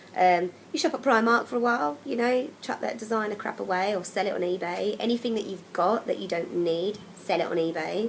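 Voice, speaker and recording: With an English accent and lively intonation, the speaker goes at a fairly quick pace with hardly any pauses, against noticeable background noise. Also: woman, medium pitch for a woman. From England. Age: 30s. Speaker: travel vlogger. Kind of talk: casual vlog advice. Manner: casual, chatty with frequent ums.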